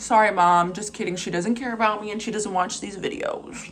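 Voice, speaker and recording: Noticeable background noise surrounds a woman speaking at a fairly high pitch. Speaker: vlogger telling personal stories. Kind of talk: casual storytelling monologue. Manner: fast; animated.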